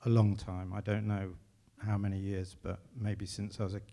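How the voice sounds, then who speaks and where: This man has an English accent and a fairly low pitch. His tone is dark and mellow. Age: 50s. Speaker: composer. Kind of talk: public conversation on stage. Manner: halting.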